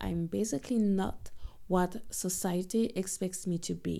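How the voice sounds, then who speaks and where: A woman speaks with a French accent. Her tone is dark and mellow. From Guadeloupe. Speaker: podcast host. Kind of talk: scripted narration.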